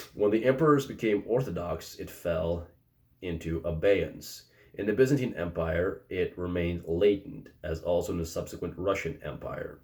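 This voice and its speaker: Mumbling at a moderate pace, a man with a very deep, low pitch sounds somewhat breathy, with ordinary pitch variation and big swings in loudness. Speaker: philosophy commentator. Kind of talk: reading aloud from a book. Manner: slightly mumbled.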